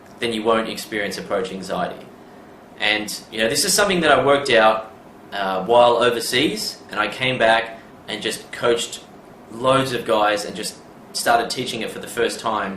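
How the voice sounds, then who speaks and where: A man speaks at a moderate pace with a medium pitch and ordinary pitch variation, his loudness swinging widely. Noticeable background noise and audible room echo fill the recording. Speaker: dating coach. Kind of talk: seminar talk; direct-to-camera coaching video. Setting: seminar with audience.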